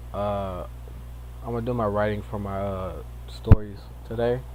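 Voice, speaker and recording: Audible room echo surrounds the recording. A man speaks with very wide pitch swings. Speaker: streamer / vlogger. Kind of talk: casual personal vlog. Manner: halting, many restarts.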